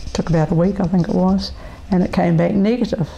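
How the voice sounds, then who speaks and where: A fairly low-pitched woman with a New Zealand accent, with noticeable background noise. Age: 70s. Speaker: person living with multiple sclerosis. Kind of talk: interview testimony. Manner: hesitant, many fillers.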